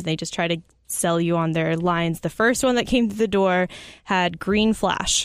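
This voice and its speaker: A woman with a plain, everyday voice and an American accent, ordinary pitch variation, moderate pace, on a very clean recording with a silent background. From Arizona, US. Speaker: brewery hospitality manager. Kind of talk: casual chat.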